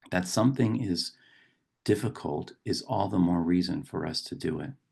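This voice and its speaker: This man's very deep, low voice has a dark, mellow tone with vocal fry. He talks at a fairly slow pace. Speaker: poet and professor; meditation guide. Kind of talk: reflective talk on poetry and meditation.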